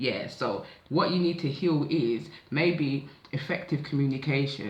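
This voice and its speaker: In a room with audible echo, a man speaks at a fairly high pitch, somewhat breathy, with ordinary pitch variation. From south London (Catford). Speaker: tarot/oracle card reader. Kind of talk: psychic oracle reading, casual monologue. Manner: casual, conversational.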